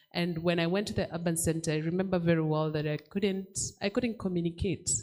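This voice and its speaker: Fairly low in pitch with ordinary pitch variation, a woman speaks at a fairly quick pace. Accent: Kenyan. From Kenya, rural Kalenjin area. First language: Kalenjin. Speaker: children's book author. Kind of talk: panel discussion.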